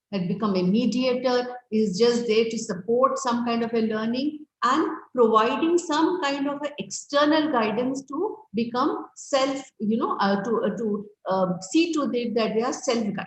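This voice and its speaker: Audible room echo surrounds a woman's high-pitched voice, which moves at a moderate pace with lively intonation. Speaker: webinar speaker on education. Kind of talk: lecture. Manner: hesitant fillers.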